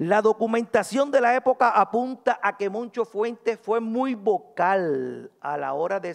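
A man talks very slowly, swinging his pitch very widely, against a quiet background. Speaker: historian, university professor; presenter. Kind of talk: academic conference talk. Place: hall. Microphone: podium.

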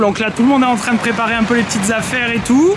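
Over noticeable background noise, a man talks at a very fast pace in a high voice with ordinary pitch variation. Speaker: golf vlogger leading a group trip. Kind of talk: casual vlog chat. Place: open country. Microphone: phone near.

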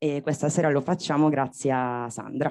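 Against a quiet background, a woman speaks with a very deep, low pitch, a dark, mellow tone and fairly even intonation. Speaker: bookshop host. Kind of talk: event announcement. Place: stage. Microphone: handheld.

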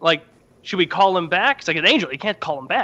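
A man's raised, projected voice at a very fast pace. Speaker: podcast host. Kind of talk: comedic storytelling. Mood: joking, animated. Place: home room. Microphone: studio mic.

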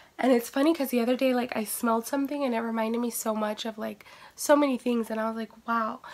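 Noticeable background noise sits behind a woman with fairly high pitch. She talks at a fairly quick pace with fairly even intonation. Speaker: beauty vlogger. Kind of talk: casual talk to camera.

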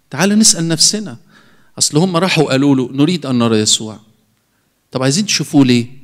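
Against a quiet background, a man with a fairly high pitch talks at a fairly quick pace with lively intonation and long, frequent pauses. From Egypt. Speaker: priest. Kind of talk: sermon. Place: church. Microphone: handheld.

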